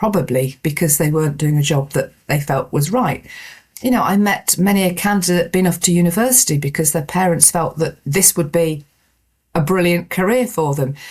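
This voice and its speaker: A somewhat breathy woman's voice, fairly low in pitch, at a moderate pace with ordinary pitch variation and very even loudness. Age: 60s. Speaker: podcast host and executive coach. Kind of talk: solo podcast monologue. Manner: conversational.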